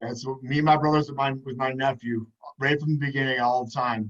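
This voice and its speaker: The speaker is a man with a medium pitch. He talks at a moderate pace with fairly even intonation. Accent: American. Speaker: podcast host and PE teacher. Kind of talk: casual chat. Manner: loud.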